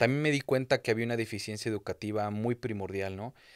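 Against a quiet background, a man speaks at a fairly low pitch. His intonation stays fairly even. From Querétaro, central Mexico. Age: 30s. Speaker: entrepreneur; podcast guest. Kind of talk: interview. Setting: studio. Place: studio. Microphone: studio mic.

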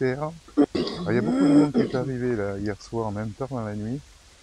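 The man's voice has ordinary pitch variation and a dry sound with no echo, with noticeable background noise behind it. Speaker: van-life vlogger. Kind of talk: casual vlog chat. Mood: relaxed, cheerful. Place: street. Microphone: lapel.

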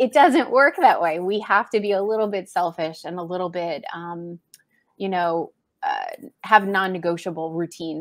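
Ordinary pitch variation and a moderate pace from a woman, with big swings in loudness over a quiet background. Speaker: guest coach. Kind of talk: interview answer. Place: home room.

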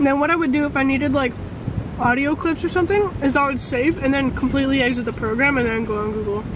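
The sound is dry, with no echo. Background noise is noticeable. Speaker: vlogger. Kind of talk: casual vlog chat. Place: car. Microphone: phone near.

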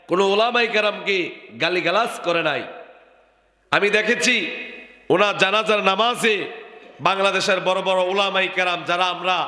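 In a room with audible echo, a man with a high voice speaks in a raised, projected voice with very even loudness and fairly even intonation. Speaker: Islamic preacher. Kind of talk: sermon.

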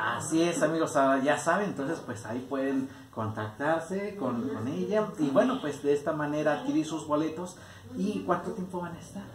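Noticeable background noise sits behind a man whose pitch swings very widely at a moderate pace. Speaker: radio and TV host and station director. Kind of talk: interview host. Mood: cheerful, enthusiastic. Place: home room. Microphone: handheld.

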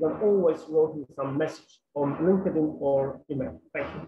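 Light noise in the background behind a moderately paced male voice. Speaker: academic researcher presenting; presenter. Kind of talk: conference presentation and Q&A. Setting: video call while travelling. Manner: halting, many fillers. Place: home room. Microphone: internet connection troubles; webcam.

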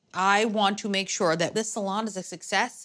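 A woman talks at a moderate speed. Clear music can be heard behind her. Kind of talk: interview answer. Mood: enthusiastic, upbeat. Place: shop. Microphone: lapel.

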